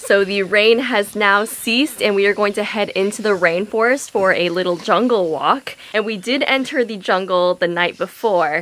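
A woman talks at a moderate pace with hardly any pauses and ordinary pitch variation. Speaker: travel vlogger. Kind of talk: casual vlog chat. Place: home room. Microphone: phone near.

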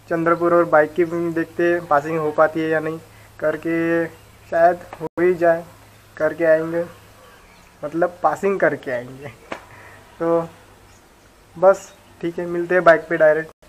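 Over light background noise, a man with a high pitch speaks in a monotone, flat intonation at a very slow pace with long, frequent pauses. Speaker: moto vlogger. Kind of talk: casual vlog chat. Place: home room. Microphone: phone near.

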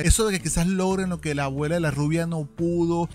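A man speaks in a high-pitched voice. The sound is dry with no echo, and there is light background noise. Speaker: anime reaction youtuber. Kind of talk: casual episode review commentary. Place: home room. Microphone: studio mic.

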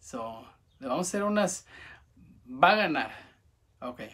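A quiet background behind a man's voice. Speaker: vlogger. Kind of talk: casual monologue to camera. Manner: halting, stuttering. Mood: relaxed, friendly. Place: home room. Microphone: phone near.

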